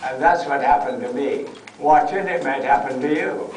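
A man is recorded with audible room echo and light background noise. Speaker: guest. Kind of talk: lecture. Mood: humorous, enthusiastic. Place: tent. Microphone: camera far.

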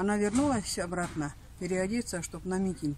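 The voice is somewhat breathy, with ordinary pitch variation and a moderate pace. The sound is dry with no echo, over light background noise. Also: woman. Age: 80s+. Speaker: elderly villager; interviewee. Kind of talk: personal reminiscence. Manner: halting. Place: garden.

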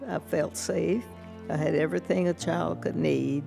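Over clear background music, a woman with an American accent speaks at a very slow pace. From Tulsa, Oklahoma. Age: 80s+. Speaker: massacre survivor. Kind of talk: congressional testimony. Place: hall. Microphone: podium.

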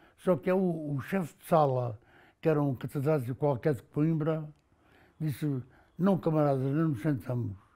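A man speaks at a moderate pace with a dark, mellow tone, fairly high pitch and ordinary pitch variation. He leaves long, frequent pauses against a quiet background. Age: 80s+. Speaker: former political prisoner. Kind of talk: testimony. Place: home room. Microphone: lapel.

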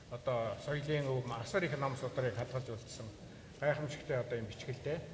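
Fairly slowly, a man speaks as noticeable noise carries on in the background. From Mongolia, eastern steppe. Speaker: poet. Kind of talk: interview answers. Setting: stage with audience.

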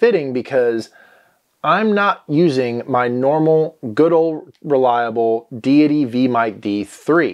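The background stays quiet while a man talks. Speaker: gear reviewer. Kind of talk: product review talk to camera. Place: home room. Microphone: lapel.

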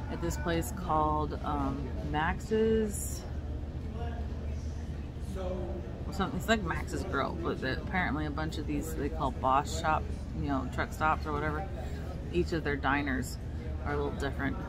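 A woman speaks with long, frequent pauses. Loud noise fills the background. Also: moderate pace. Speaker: road trip vlogger. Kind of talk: casual vlog chat. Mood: relaxed, chatty. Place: cafe. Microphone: phone near.

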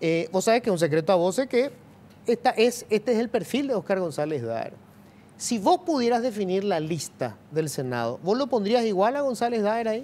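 At a moderate pace, a man speaks in a high voice that swings very widely in pitch. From Paraguay. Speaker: TV news host. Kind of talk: TV interview. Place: studio. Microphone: lapel.

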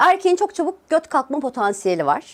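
A woman's fairly quick speech is captured in a very clean recording against a silent background. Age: 30s. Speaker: YouTuber. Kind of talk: casual vlog talk to camera.

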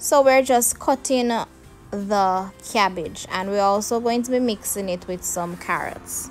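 With faint music in the background, a woman speaks at a fairly slow pace and with ordinary pitch variation. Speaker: home cooking channel host. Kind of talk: tutorial. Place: kitchen.

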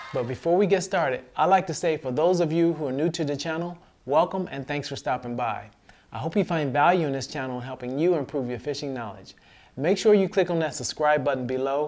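Ordinary pitch variation from a man at a fairly quick pace. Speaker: fishing channel host. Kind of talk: tutorial. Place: home room.

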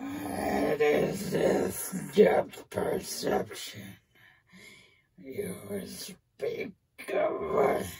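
A woman does a raspy, put-on character voice at a very slow pace, with a slight echo. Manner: menacing, contemptuous.

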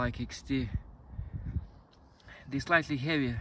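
At a fairly slow pace, the voice comes through with a dry sound with no echo and light background noise. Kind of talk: casual product review. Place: open country. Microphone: phone near.

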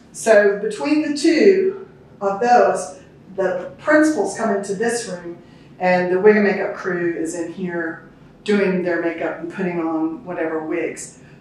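With lively intonation, a woman speaks at a fairly slow pace amid strong room echo. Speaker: tour guide. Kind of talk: guided tour explanation. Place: hall. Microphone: camera far.

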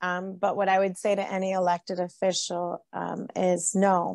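A woman's monotone, flat voice, dry with no echo, over a quiet background. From California, Napa County; California. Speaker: county supervisor; guest. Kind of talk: interview. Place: home room. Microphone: video call.

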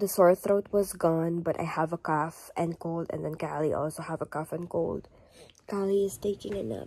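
A soft-spoken woman talks at a moderate pace and fairly low pitch, her tone dark, mellow and tired, with ordinary pitch variation. The sound is dry, with no echo. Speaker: vlogger. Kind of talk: casual vlog chat. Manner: soft, tired voice with a cold. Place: home room. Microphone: phone near.

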